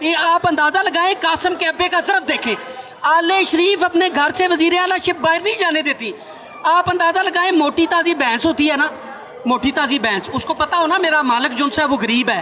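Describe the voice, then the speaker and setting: A man speaks in a raised, projected voice at an extremely high pitch, with ordinary pitch variation and very even loudness. Noticeable background noise runs behind him. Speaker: political speaker. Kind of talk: political speech. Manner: animated.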